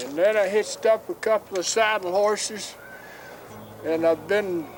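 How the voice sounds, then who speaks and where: A high-pitched male voice at a fairly slow pace, with ordinary pitch variation and noticeable background noise. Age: 70s. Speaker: chariot racer. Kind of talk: interview.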